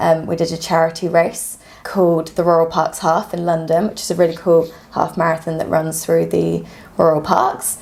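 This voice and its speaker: Noticeable background noise sits behind a woman's voice. She speaks at a fairly low pitch with flat, monotone intonation. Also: moderate pace. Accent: British. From UK. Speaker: physiotherapist and runner. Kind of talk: casual podcast interview. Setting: podcast recording.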